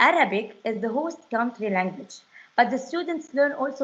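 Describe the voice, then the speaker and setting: A woman speaks with a non-native accent at a moderate pace. Her pitch is high. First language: not English. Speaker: French teacher. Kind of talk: webinar presentation. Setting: online webinar. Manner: halting, many fillers.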